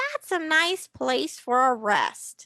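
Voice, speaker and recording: A put-on character voice sounds squeaky and high-pitched. Its pitch swings very wide. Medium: read story. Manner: calling out.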